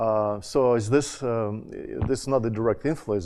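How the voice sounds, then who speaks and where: A man with a Russian accent talks at a moderate pace in a fairly low pitch, his tone dark and mellow with ordinary pitch variation. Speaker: education scholar, former college dean. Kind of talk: conference panel talk. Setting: conference panel with audience. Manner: halting, many fillers and restarts.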